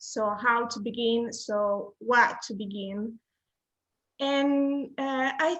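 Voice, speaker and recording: A woman's fairly high voice in an Italian accent, with ordinary pitch variation. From Italy. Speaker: graphic designer. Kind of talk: interview. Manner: halting.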